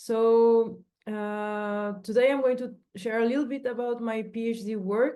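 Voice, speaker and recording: The voice has a dark, mellow tone and a Spanish accent, moving at a fairly slow pace with fairly even intonation. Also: woman. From Mexico. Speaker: PhD researcher. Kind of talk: research presentation.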